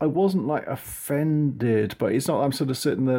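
In an English accent, a man talks at a very fast pace on a very clean recording with a silent background. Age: 50s. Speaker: podcast guest. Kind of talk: casual film discussion. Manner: halting, hesitant.

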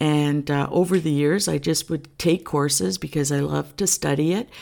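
The voice belongs to a woman and sits at a very deep, low pitch. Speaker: podcast host. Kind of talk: casual faith talk. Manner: relaxed.

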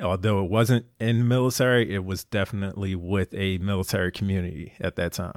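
A man with a Philadelphia accent speaks at a fairly quick pace with hardly any pauses, in a fairly low pitch. His intonation is fairly even, and the sound is dry and close with no echo. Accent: Philadelphia American. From Philadelphia, US. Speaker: navy veteran and endurance athlete. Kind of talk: casual interview.

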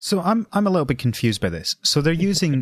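In a Scottish accent, a man speaks with very wide pitch swings, the sound dry and close with no echo. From Scotland. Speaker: podcaster. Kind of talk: casual chat. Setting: remote call.

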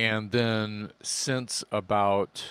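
A man with an American accent speaks at a very slow pace, fairly low in pitch and with fairly even intonation, on a very clean recording with a silent background. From Texas, Corpus Christi. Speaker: rock singer. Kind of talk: casual chat.

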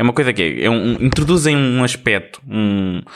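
Speaking in a European Portuguese accent, this man keeps a moderate pace. His pitch varies in an ordinary way. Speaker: podcast co-host. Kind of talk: casual chat.

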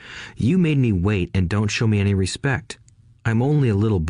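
The reading voice sounds unforced.

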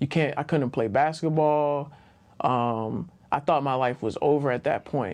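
Against a quiet background, a man with a plain, everyday voice and an American accent speaks slowly at a fairly high pitch with fairly even intonation. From Baltimore, Maryland, US. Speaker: attorney. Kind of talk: casual interview.

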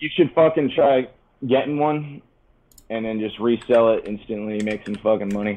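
With a normal speaking voice, a man talks at a moderate pace in a medium pitch with ordinary pitch variation. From Connecticut, US. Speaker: touring metal musician. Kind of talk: casual chat.

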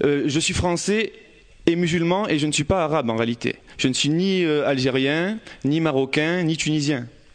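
A man's normal speaking voice, fairly high-pitched, at a moderate pace, with ordinary pitch variation and very even loudness. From Marseille, northern districts. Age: 20s. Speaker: audience member speaking. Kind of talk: personal testimony. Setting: stage with audience.

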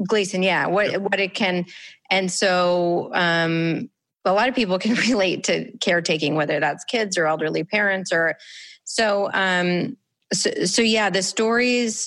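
A woman with a normal speaking voice, at a fairly slow pace with very even loudness, over a quiet background. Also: medium pitch for a woman, ordinary pitch variation. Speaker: podcast host and former TV producer. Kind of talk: interview. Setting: video call.

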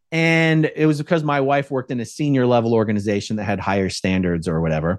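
A man with an American accent, very fast and lively in intonation, over a quiet background. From South Jersey / Philadelphia area. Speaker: ex-Scientology activist and YouTuber. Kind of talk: podcast interview.

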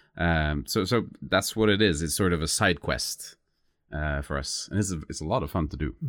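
A man's very deep, low voice in a Norwegian accent, with ordinary pitch variation. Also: moderate pace, very clean recording, silent background. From southern Norway (Lista). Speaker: musician. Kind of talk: interview. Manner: halting.

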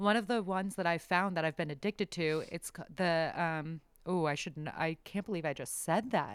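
A woman with an American accent talks at a moderate pace with hardly any pauses. Her pitch is fairly low, and its variation is ordinary. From San Diego, California. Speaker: podcast co-host. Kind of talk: casual chat. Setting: video call. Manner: animated.

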